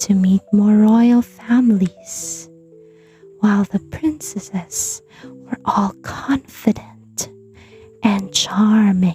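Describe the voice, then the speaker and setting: A soft-spoken woman talks at a very slow pace in a gentle tone. Music plays in the background. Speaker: bedtime story narrator. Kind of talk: sleep story, children's bedtime story reading. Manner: soft, gentle, calming.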